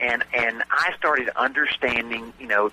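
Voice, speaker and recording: A man with a Southern US accent, in a dry, close sound with no echo, with noticeable background noise. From US South. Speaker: real estate note investor and trainer. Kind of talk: radio interview. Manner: hesitant, many fillers.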